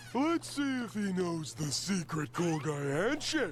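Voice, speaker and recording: Clear background noise sits behind a man using a cartoonish character voice. It is high-pitched and goes at a fairly slow pace. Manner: dopey.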